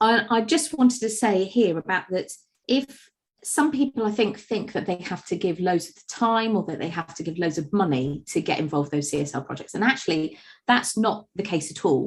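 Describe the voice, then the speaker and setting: The voice moves at a fairly quick pace, with very wide pitch swings and big swings in loudness. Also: woman, medium pitch for a woman. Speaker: agency managing director presenting webinar. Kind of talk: webinar presentation. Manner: hesitant, many fillers.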